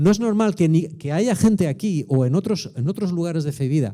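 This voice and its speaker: A man's dark, mellow voice with a Spanish accent, fairly high in pitch, at a moderate pace with lively intonation. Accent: Peninsular Spanish. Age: 60s. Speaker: pastor. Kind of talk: sermon. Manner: animated.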